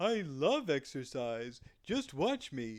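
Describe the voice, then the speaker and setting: A man's put-on character voice, fairly high in pitch, at a very slow pace. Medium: read story.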